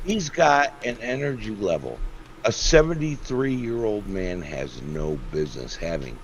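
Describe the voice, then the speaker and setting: The speaker is a man talking at a fairly slow pace. Background noise is noticeable. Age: 60s. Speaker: fan guest. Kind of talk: casual chat. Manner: animated.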